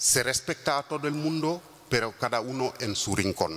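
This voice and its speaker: A man with a Wolof accent speaks very slowly at medium pitch, with very wide pitch swings and noticeable background noise. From Senegal. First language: Wolof (speaking Spanish). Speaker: intercultural mediator. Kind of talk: conference talk. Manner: halting, many fillers.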